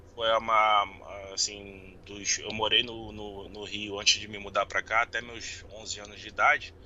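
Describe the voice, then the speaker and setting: The voice moves at a fairly slow pace, with big swings in loudness and a monotone, flat intonation. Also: man, fairly low pitch for a man. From Rio de Janeiro, Brazil. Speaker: podcast guest, football fan. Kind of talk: casual interview. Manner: halting.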